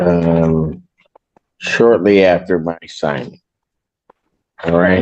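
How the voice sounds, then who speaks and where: A man at a very slow pace. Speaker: judge. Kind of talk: courtroom hearing. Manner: firm, blunt.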